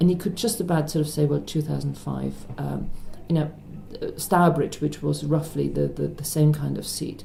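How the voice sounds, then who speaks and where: Music playing behind a woman's moderately paced speech. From Germany. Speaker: politician, member of parliament. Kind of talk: interview answer. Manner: quiet, confident.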